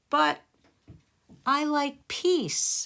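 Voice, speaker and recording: A woman uses a put-on character voice. Her pitch is high. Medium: read story. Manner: mild, earnest.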